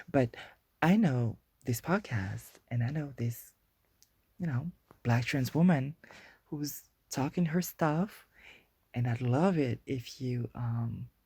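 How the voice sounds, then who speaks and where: A woman with a very deep, low pitch, a dark, mellow tone and a somewhat breathy, playful delivery speaks at a very slow pace with long, frequent pauses, on a very clean recording with a silent background. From Guadeloupe. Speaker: podcast host. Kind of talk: casual podcast monologue. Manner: hesitant, many fillers and restarts; chatty, playful.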